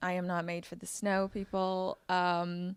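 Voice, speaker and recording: A woman with a medium pitch is heard in a very clean recording with a silent background. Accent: South African. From South Africa. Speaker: actor. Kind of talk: interview.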